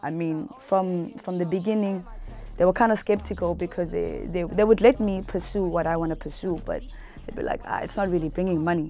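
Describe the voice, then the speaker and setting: At a fairly quick pace, a woman with a dark, mellow tone talks at medium pitch with ordinary pitch variation. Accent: South African. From Cape Town, South Africa. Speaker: rapper. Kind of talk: interview answer. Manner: casual.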